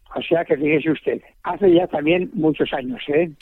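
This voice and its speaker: A man talks with ordinary pitch variation. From Spain. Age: 80s+. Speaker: restaurant owner. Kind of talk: radio interview.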